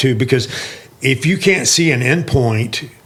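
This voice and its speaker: A man talks at a fairly slow pace in a medium pitch. It is an ordinary speaking voice. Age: 60s. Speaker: sales leader and fitness mentor. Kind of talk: casual podcast conversation.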